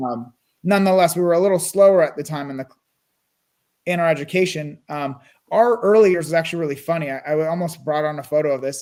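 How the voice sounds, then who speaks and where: Pitch moves in an ordinary way. The words come very fast. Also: man, fairly high pitch for a man. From US West Coast, Burbank California. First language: Russian and Armenian. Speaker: real estate investor. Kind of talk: interview.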